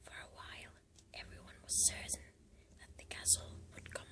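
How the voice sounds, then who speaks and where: Someone whispers against noticeable background noise. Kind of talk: ASMR book reading, whispered. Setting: close-up recording with some background noise. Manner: whispered, soft.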